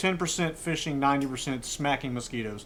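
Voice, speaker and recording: A man's relaxed, fairly high-pitched voice in a Virginia accent. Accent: Southern US (Virginia). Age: 50s. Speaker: fishing video host. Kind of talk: casual talk to camera. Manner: relaxed, folksy.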